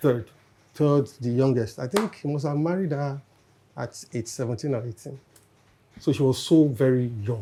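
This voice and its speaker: A man speaks at a moderate pace in a medium pitch, with ordinary pitch variation and long, frequent pauses. His tone is dark, mellow and somewhat breathy. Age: 60s. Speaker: panel guest. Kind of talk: casual chat.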